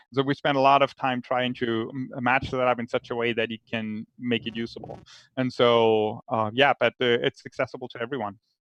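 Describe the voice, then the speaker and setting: Delivery is fairly quick, with monotone, flat intonation. The speaker has a German accent. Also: man, medium pitch for a man. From Germany. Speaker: researcher, panelist. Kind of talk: panel Q&A. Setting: virtual live stream. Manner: halting, many fillers.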